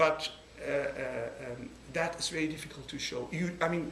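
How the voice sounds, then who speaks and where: Amid noticeable background noise and audible room echo, a man with a Kurdish accent speaks at a moderate pace, his fairly high pitch showing ordinary variation. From Iraqi Kurdistan. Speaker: NGO researcher. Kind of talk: talk to a board meeting. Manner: halting, many fillers and restarts.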